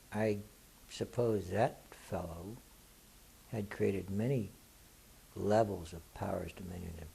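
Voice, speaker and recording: A man's fairly low-pitched voice, dark and mellow in tone and somewhat breathy, with fairly even intonation, big swings in loudness and long, frequent pauses. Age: 60s. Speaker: spiritual author and teacher, war veteran. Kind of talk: Q&A talk to an audience. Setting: live Q&A event with audience. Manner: casual, conversational.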